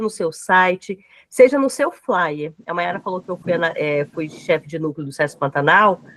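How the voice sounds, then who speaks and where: Her pitch swings very widely as this woman speaks at a moderate pace. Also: dry, close sound with no echo. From Mato Grosso, Brazil (Araguaia region). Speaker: project manager and lecturer. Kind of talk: online lecture.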